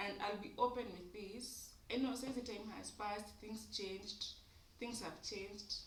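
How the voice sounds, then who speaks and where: A voice comes at a moderate pace with audible room echo. Noticeable background noise is present. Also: woman. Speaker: YouTuber. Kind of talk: casual monologue vlog. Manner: loud; code-switching English and Swahili.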